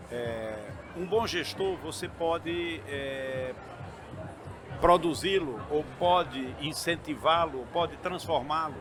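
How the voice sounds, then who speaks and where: Over noticeable background noise, a man with a fairly high pitch speaks at a very slow pace. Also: ordinary pitch variation. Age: 60s. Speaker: entrepreneur and university chancellor. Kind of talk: interview. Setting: event booth at trade fair. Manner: halting.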